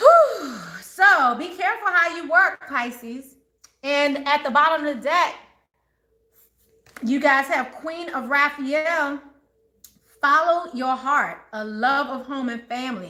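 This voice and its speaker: A woman's raised, projected, high voice with an American accent, bright, sharp tone and lively intonation, at a very slow pace with long, frequent pauses and big swings in loudness. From Maryland / DC area, US. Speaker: tarot reader. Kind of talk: live tarot reading for viewers. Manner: animated, chatty.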